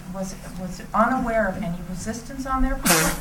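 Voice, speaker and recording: Over noticeable background noise and with audible room echo, a woman talks at a moderate pace and medium pitch. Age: 60s. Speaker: resident speaking at town meeting. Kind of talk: public comment. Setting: town board meeting. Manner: halting.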